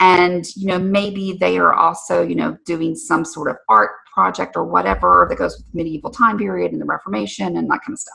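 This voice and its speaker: A woman in an Alabama accent at a fairly quick pace, with big swings in loudness and hardly any pauses. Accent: southern Alabama. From US South, southern Alabama. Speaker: podcast host and career coach. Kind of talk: casual podcast talk. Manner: conversational with many fillers.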